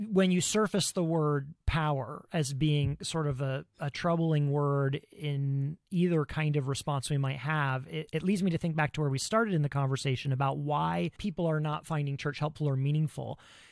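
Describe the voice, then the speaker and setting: An American accent marks this man's unremarkable speaking voice, pitched fairly high. He talks with hardly any pauses in a very clean recording with a silent background. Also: ordinary pitch variation, moderate pace, dry, close sound with no echo. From US Midwest, Ohio. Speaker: podcast host. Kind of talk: interview conversation.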